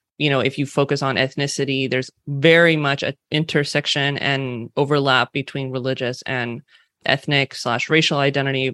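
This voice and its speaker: Moderate pace in a Californian accent, over a quiet background. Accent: Californian West Coast. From California, US West Coast. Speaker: diversity and inclusion consultant. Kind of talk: interview conversation. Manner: casual, uses filler like 'like'.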